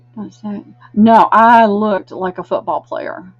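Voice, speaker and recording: In a dry, close recording with no echo, a woman speaks at a fairly slow pace in a fairly high, somewhat breathy voice with lively intonation. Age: 60s. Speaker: online live sale host. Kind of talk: live sales stream chat. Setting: live video stream from a room, camera mic. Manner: chatty.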